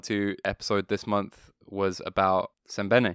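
With a British accent and a fairly low pitch, a man speaks on a very clean recording with a silent background and a dry, close sound with no echo. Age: 20s. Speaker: podcast co-host and rock musician. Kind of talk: casual chat.

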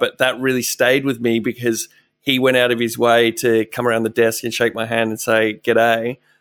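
Recorded dry and close with no echo, a man with an Australian accent talks at a medium pitch and a moderate pace. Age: 30s. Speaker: radio presenter. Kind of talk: casual interview chat. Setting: video call.

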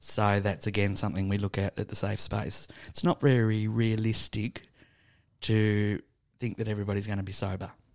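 Fairly low-pitched male voice with an Australian accent, on a very clean recording with a silent background. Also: fairly even intonation, moderate pace. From Tasmania, Burnie. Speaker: homeless support worker. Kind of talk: casual interview. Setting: studio.

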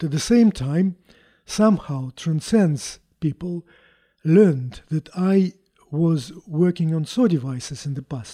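In a Russian accent, a man speaks at a fairly slow pace with a fairly high pitch and lively intonation. His tone is dark and mellow, and the sound is dry and close with no echo. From Russia, Moscow. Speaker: chief scientist, physicist. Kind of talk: interview, technical explanation. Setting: on site at a company.

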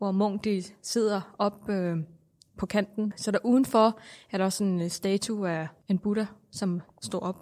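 In a Thai accent, a woman speaks very slowly at a medium pitch with fairly even intonation, on a very clean recording with a silent background. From Thailand. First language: Thai (speaking Danish). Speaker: Buddhist interviewee. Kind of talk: interview. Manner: halting.

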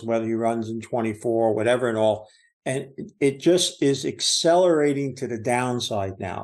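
A man at medium pitch and moderate pace, with a normal speaking voice. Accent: American. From New Jersey. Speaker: market commentator. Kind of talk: casual chat.

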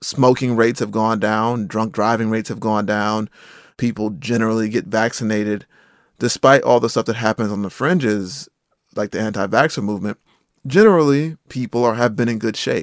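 A man has an unremarkable speaking voice and an American accent, talking at a fairly quick pace. His pitch is medium with ordinary variation, on a very clean recording with a silent background. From eastern North Carolina, Rocky Mount. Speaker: journalist and podcaster. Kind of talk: interview conversation.

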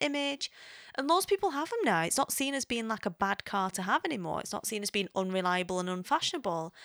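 In an English accent, the speaker moves at a fairly quick pace with very wide pitch swings. The sound is dry and close with no echo, and the recording is very clean with a silent background. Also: woman. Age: 30s. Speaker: podcast host. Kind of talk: casual monologue. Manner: chatty, hesitant with fillers.

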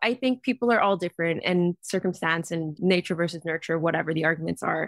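A very fast voice in a dry, close sound with no echo, in a very clean recording with a silent background. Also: woman. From Vancouver, Canada. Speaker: model and activist. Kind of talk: casual interview chat.

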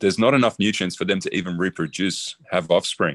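A fairly quick voice in an Australian accent with very wide pitch swings, dry and close with no echo, over a quiet background. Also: man. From Australia (emigrated from the Netherlands at nine). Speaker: designer and zero-waste builder. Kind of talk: interview conversation.

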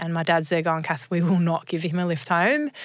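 A woman with an Australian accent, fairly low-pitched, very fast and monotone with flat intonation. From Australia (rural New South Wales, then Sydney). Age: 30s. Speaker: former professional cricketer and motivational speaker. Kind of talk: interview, personal story. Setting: studio.

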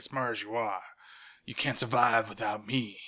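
In a put-on character voice, a man speaks at a moderate pace and medium pitch, raspy and monotone with flat intonation. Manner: wavering accent, imitating.

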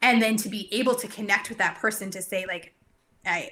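Her tone is bright and sharp, with a medium pitch for a woman. She keeps a moderate pace and ordinary pitch variation. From Canada, Cranbrook, British Columbia. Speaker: brain health clinician, business owner. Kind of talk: casual interview chat.

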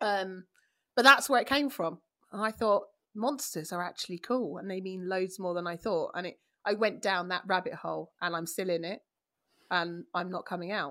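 In a very clean recording with a silent background, a woman with a London accent speaks at a moderate pace in an animated tone. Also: medium pitch for a woman, ordinary pitch variation. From East London, England. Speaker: classicist and media presenter. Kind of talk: casual chat.

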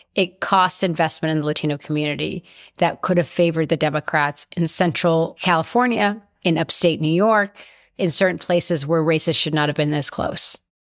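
The voice is a plain, everyday voice with ordinary pitch variation at a fairly quick pace. It comes through on a very clean recording with a silent background. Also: woman. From Colombia, raised in the US. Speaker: advocacy group CEO. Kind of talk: interview.

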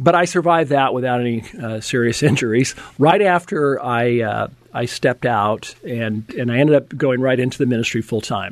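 This man has an unremarkable speaking voice, talking at a moderate pace and medium pitch with ordinary pitch variation. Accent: American. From US West, Napa, California. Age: 60s. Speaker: fitness coach and former pro football player. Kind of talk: casual interview.

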